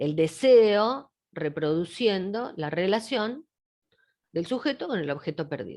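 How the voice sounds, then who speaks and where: Moving very slowly, a woman speaks with very wide pitch swings. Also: medium pitch for a woman. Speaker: psychoanalyst lecturer. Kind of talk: lecture. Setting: video call.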